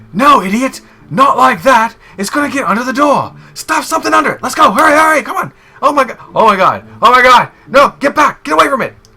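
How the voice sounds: A man puts on a character voice at an extremely high pitch and a fairly quick pace.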